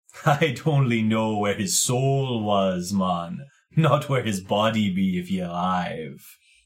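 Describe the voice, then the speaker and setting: A man's put-on character voice, fairly low and drawling, at a fairly slow pace. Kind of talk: slangy, broken grammar. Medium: actual play. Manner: casual, drawling, says man a lot.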